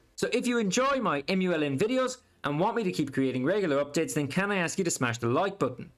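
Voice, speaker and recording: A man with an Irish accent talks at a very fast pace and a high pitch, his pitch swinging very widely. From Ireland. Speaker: stock market YouTuber. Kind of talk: video commentary on stock news.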